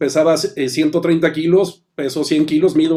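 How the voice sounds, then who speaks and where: A man speaks at a moderate pace in a fairly high pitch. His dark, mellow tone holds fairly even intonation. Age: 50s. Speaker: business coach and consultant. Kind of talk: interview.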